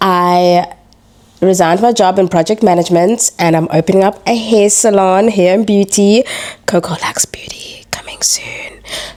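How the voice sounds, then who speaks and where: With an animated tone, a woman talks at a moderate pace and medium pitch over noticeable background noise. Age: 20s. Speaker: entrepreneur and mother. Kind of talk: casual chat.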